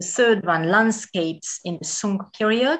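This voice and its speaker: A woman with a Hungarian accent speaks at a fairly slow pace with ordinary pitch variation against a quiet background. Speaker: museum director. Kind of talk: lecture. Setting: video call.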